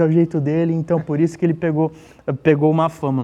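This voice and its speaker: A high-pitched man speaking at a fairly quick pace. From Santos, Brazil. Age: 30s. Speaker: social media page creator. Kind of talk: casual interview. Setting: studio.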